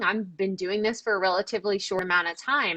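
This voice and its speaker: The voice is loud and animated, moving at a moderate pace. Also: woman. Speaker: podcaster and business coach. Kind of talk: interview conversation.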